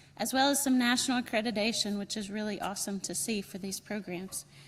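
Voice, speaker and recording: A woman with a North Carolina accent at a fairly quick pace, on a very clean recording with a silent background. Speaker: program director and event organizer. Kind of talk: welcome speech at conference.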